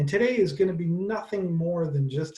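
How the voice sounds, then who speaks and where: A man's somewhat breathy voice with a dark, mellow tone and ordinary pitch variation. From Wisconsin. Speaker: librarian. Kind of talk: webinar presentation. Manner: fast.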